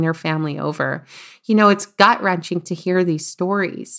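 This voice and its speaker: With a Canadian accent, a woman speaks at a fairly quick pace in a fairly low pitch with fairly even intonation. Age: 20s. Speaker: podcast host, life coach, former engineer. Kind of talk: solo podcast monologue.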